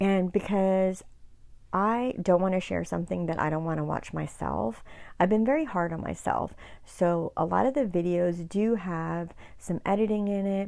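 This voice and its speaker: A soft-spoken woman with a dark, mellow tone and ordinary pitch variation, on a very clean recording with a silent background. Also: fairly low pitch for a woman, moderate pace. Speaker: YouTuber. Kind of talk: casual chat. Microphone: new mic, volume boosted in editing.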